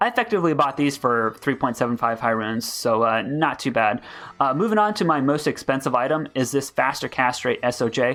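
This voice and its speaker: A man talking at a fairly quick pace, faint music behind him. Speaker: gaming YouTuber; streamer. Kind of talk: game build guide. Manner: fast. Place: home room. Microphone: headset.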